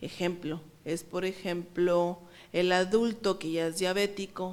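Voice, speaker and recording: In a very clean recording with a silent background, a woman with an unremarkable speaking voice talks at a medium pitch with fairly even intonation. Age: 30s. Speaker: psychologist. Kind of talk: interview.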